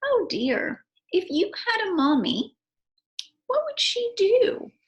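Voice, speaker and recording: A woman puts on a character voice that is squeaky and extremely high, warm and gentle in tone, with very wide pitch swings at a fairly slow pace. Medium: read story. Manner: warm, gentle.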